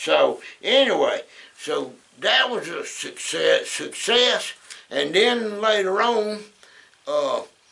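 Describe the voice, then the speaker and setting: With a Southern US accent, a man speaks at a very slow pace, leaving long, frequent pauses amid noticeable background noise. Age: 70s. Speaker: former trucking business owner. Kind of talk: casual talk to camera.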